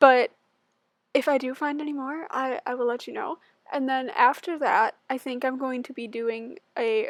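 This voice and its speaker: A woman speaks at a high pitch with big swings in loudness, the sound dry and close with no echo. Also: ordinary pitch variation, moderate pace. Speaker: gaming YouTuber. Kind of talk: casual voiceover. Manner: chatty, filler-heavy.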